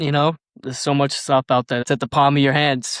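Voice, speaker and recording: At a fairly quick pace, a man with a Boston accent speaks at a medium pitch, his sound dry and close with no echo over a quiet background. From Boston, Massachusetts. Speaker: amateur astrophotographer. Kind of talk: casual chat.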